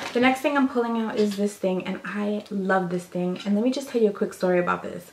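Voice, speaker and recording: A woman talks at a fairly quick pace in a medium-pitched voice with ordinary pitch variation over noticeable background noise. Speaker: beauty vlogger. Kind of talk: casual show-and-tell vlog. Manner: casual, chatty; lowered voice, quieter.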